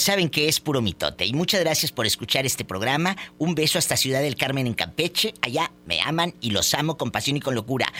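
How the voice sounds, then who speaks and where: Noticeable background noise is present. Against it, a male speaker keeps a moderate speed. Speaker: radio host. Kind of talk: call-in radio show. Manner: animated.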